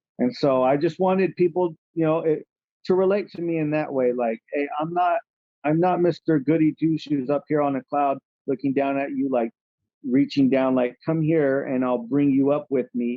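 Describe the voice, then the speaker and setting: A man's fairly high voice, an unremarkable speaking voice, with an American accent and fairly even intonation. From California. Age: 30s. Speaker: rapper. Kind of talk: casual chat.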